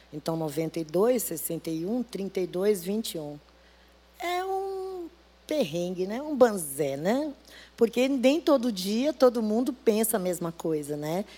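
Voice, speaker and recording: At a very slow pace, a woman with a dark, mellow tone speaks at medium pitch with very wide pitch swings. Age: 60s. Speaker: church deaconess and cook. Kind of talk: testimony.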